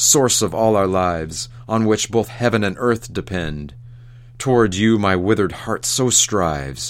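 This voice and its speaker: An ordinary speaking voice from a man, fairly low in pitch, at a fairly slow pace with lively intonation. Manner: rising ecstatic wonder, exclamatory and breathless; fearful, urgent pleading as the spirit appears.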